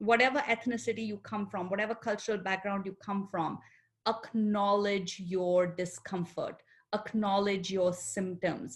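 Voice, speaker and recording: Fairly slow, fairly even speech from a woman with an Indian accent, somewhat breathy. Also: medium pitch for a woman. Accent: Indian accent, still noticeable. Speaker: psychologist. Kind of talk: panel discussion.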